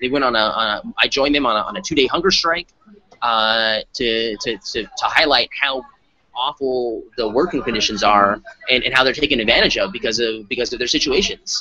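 With an American accent, a man speaks at a fairly quick pace with ordinary pitch variation, the sound dry with no echo and light background noise. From Arizona. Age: 30s. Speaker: state legislator; interviewee. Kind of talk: interview. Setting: conference. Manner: halting. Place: meeting room. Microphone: studio mic.

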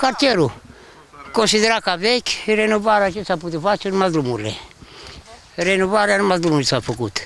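Pausing long and often, a man speaks in a high pitch with lively intonation, the sound dry with no echo and light background noise. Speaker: local resident. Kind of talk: street interview. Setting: outdoors. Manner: halting. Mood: mildly critical. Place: street. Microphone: handheld.

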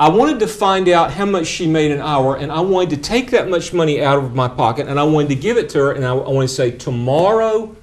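A man speaks with a fairly high pitch. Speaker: preacher and seminary professor. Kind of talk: lecture. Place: classroom.

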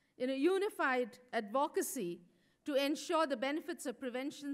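A woman with a high voice speaks at a moderate pace against a quiet background. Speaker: speaker. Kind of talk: conference speech. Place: hall. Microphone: podium.

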